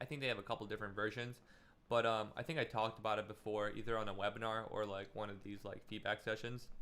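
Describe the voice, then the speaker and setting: The delivery is very fast, with a bright, sharp tone and monotone, flat intonation. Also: man, fairly low pitch for a man. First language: Russian. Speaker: music producer giving feedback. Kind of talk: live stream feedback session. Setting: live stream with webcam. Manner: casual, filler-heavy.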